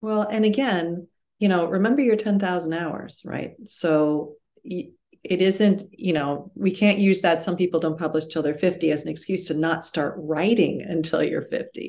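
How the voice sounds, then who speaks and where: At a fairly slow pace, a woman talks in a plain, everyday voice with a fairly low pitch and ordinary pitch variation. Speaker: novelist and memoirist. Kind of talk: interview conversation.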